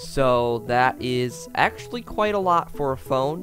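Clear music plays in the background while a man speaks at a very slow pace. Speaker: youtuber. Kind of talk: casual explainer vlog. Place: home room. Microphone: studio mic.

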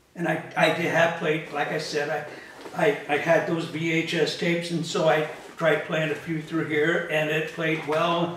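Over light background noise and audible room echo, a man with a high pitch speaks at a moderate pace. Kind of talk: casual vlog chat. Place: home room.

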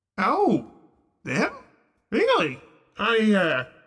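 A man puts on a character voice at a high pitch. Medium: actual play. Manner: casual, rambling, folksy.

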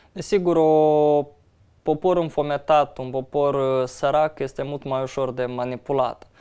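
Speaking at a fairly slow pace over a quiet background, a man has a dark, mellow tone and fairly even intonation. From Moldova. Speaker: opposition politician, party vice-president; opposition politician. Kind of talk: interview. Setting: studio. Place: studio. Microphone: lapel.

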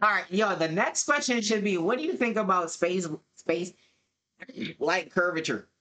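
A man's raised, projected voice, high-pitched and bright and sharp, animated with lively intonation, at a moderate pace with long, frequent pauses and very even loudness. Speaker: streamer. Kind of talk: casual reaction commentary. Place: home room.

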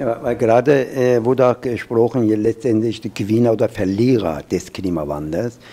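A man with an Iranian accent speaks with hardly any pauses. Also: ordinary pitch variation, moderate pace. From Urmia, Iran. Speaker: professor. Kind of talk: panel discussion on climate adaptation. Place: hall. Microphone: handheld.

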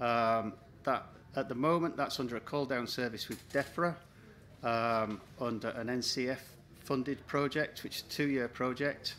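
A man at a moderate pace with fairly even intonation, over light background noise. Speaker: forest research scientist. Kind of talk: short conference talk. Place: tent.

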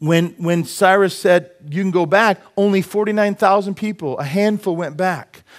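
Against a quiet background, a man talks in a high voice. His tone is animated and his pace fairly slow. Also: hardly any pauses. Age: 50s. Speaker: preacher. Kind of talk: sermon. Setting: church. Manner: humorous, self-deprecating asides. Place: church.

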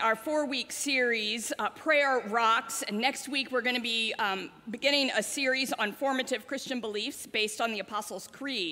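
The delivery moves at a moderate pace with hardly any pauses. Pitch variation is ordinary. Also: woman. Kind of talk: announcements and welcome to congregation. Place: church.

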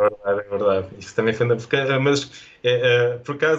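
With a European Portuguese accent, a man speaks in fairly even intonation. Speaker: photojournalist. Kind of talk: interview conversation. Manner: halting, with many repetitions.

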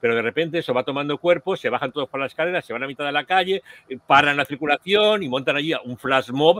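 A man at a very fast pace, fairly high in pitch with ordinary pitch variation, in a dry sound with no echo. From Spain. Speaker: podcast host. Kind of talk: casual chat. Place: home room. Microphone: video call.

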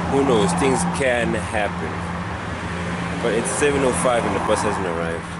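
Loud background noise sits behind a dry sound that has no echo. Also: man. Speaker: vlogger. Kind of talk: casual vlog chat. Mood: slightly worried, waiting. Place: street. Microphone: phone near.

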